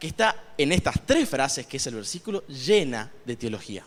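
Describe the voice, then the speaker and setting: Pitch swings very widely as this man talks in a fairly high voice. He keeps a fairly slow pace. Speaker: lay preacher. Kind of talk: sermon.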